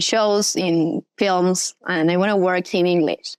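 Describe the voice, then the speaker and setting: A woman speaks in an Argentine accent. Her intonation stays fairly even. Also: dry, close sound with no echo. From Argentina. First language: Spanish. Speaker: actress and model. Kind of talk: casual interview. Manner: halting, searching for words.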